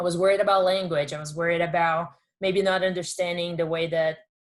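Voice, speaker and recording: The speaker has a Portuguese accent. The intonation is monotone and flat. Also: woman. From Brazil. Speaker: former college athlete, workshop speaker. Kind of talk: workshop talk.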